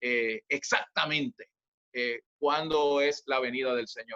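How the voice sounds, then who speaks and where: Bright, sharp male tone, dry and close with no echo. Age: 60s. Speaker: church minister. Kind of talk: sermon. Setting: video call.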